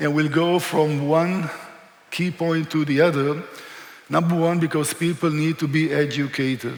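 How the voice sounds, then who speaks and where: Against noticeable background noise, a man with an Israeli accent speaks at a fairly high pitch in a monotone, flat intonation. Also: moderate pace. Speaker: historian and tour guide. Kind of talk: lecture.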